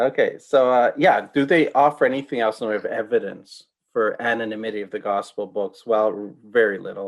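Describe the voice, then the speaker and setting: Talking at a fairly quick pace with hardly any pauses, a man speaks at a medium pitch with ordinary pitch variation. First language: not English. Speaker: pastor and apologetics speaker. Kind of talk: interview on theology.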